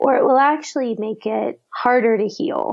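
An unremarkable speaking voice with an American accent moves at a fairly slow pace, with ordinary pitch variation. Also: woman. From Texas, Austin. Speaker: priest and author. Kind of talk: interview.

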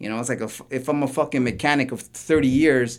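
Speaking at a very fast pace, a man uses a medium pitch with a Toronto accent. The recording is very clean, with a silent background. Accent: Canadian English, Toronto. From Toronto, Canada. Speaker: graffiti artist and tattoo shop owner. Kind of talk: casual chat.

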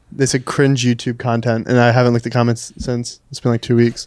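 The man's voice sits at a medium pitch, moving at a fairly quick pace with monotone, flat intonation. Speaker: podcast guest, YouTuber.

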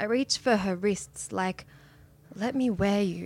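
A woman speaks in an Australian accent with fairly even intonation. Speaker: poet. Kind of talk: poetry reading. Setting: stage with audience.

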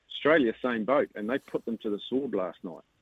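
Speaking with a New Zealand accent, a man uses a medium pitch with ordinary pitch variation. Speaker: rugby radio host. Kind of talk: radio interview. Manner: animated.

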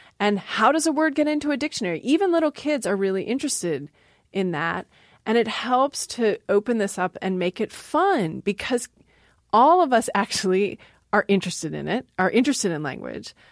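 On a very clean recording with a silent background and a dry, close sound with no echo, a woman with an American accent speaks at a fairly quick pace and fairly high pitch, with very wide pitch swings. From Maryland. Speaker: linguistics professor. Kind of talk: casual interview.

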